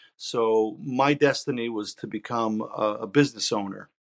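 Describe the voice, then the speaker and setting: A man talks in a plain, everyday voice at a medium pitch and moderate pace with ordinary pitch variation, the sound dry and close with no echo over a quiet background. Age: 60s. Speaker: rock guitarist. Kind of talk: interview. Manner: casual, with frequent fillers.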